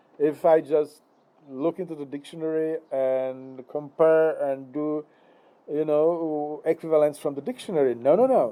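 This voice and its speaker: A man with a Czech accent talks very slowly in a dark, mellow tone. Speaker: philosophy lecturer. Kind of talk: philosophical monologue. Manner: hesitant, many fillers.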